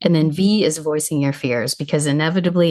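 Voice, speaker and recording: At a fairly quick pace, a woman speaks in a very deep, low pitch with fairly even intonation. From US Midwest. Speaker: travel coach. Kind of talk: podcast interview.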